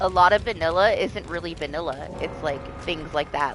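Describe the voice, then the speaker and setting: Noticeable noise fills the background. The talking proceeds at a moderate pace. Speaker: gaming streamer. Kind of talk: casual chat. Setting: live stream. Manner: loud.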